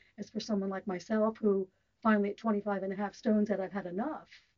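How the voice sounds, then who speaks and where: In an American accent, a woman speaks at a fairly high pitch. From US, Southern California. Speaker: interviewee on a weight-loss topic. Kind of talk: radio interview.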